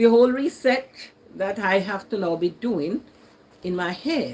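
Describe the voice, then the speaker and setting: Speaking at a fairly slow pace with a Jamaican accent, a woman makes very wide pitch swings over noticeable background noise. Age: 60s. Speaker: YouTuber. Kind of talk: casual chat. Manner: conversational.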